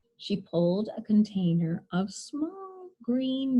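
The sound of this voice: A woman with a dark, mellow tone, a slightly husky edge, slow pace and big pitch swings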